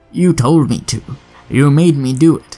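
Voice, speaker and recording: Using a put-on character voice, a man hisses at a moderate pace with a fairly high pitch. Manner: hissing, hateful.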